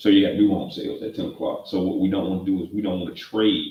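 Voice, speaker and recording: A man speaks with a somewhat breathy voice. His pitch sits fairly low. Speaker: trading mentor. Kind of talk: live trading tutorial. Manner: fast.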